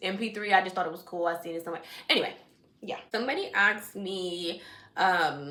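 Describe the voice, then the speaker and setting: With an American accent and an animated tone, a woman speaks at medium pitch amid noticeable background noise and audible room echo. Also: ordinary pitch variation, fairly quick pace. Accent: shifts into Jamaican dialect at times. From Washington DC area, Jamaican family. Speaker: vlogger, nail technician. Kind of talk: casual vlog chat.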